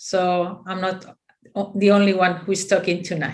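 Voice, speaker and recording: There is audible room echo around a voice with a Spanish accent. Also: woman. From Spain. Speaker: physiotherapist. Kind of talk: conference presentation. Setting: video call. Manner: halting.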